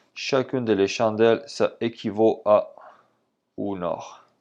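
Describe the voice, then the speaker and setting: A man with a slight Spanish accent and ordinary pitch variation over a quiet background. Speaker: trading instructor. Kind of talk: tutorial.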